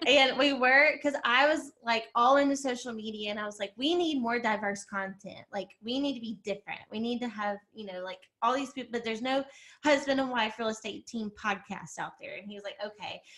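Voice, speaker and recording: In an Alabama accent, the speaker talks at a fairly quick pace with a bright, sharp tone. Loudness swings widely while pitch varies in an ordinary way. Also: woman, fairly high pitch for a woman. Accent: Southern US (Alabama). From Alabama, US South. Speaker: realtor and coach. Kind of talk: casual podcast interview. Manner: casual, filler-heavy.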